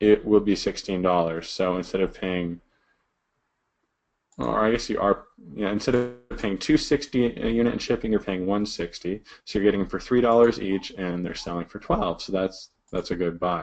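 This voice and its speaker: A man's voice sits fairly low, with ordinary pitch variation. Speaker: online seller teaching a sourcing class. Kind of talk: screen-share tutorial. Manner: fast.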